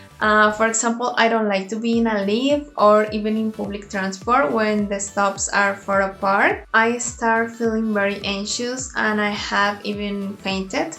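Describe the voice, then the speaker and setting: In a Colombian accent, a woman at medium pitch speaks at a fairly slow pace with hardly any pauses and fairly even intonation, with audible room echo. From Colombia (Bogota). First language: Spanish. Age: 20s. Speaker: vlogger. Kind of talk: personal vlog introduction.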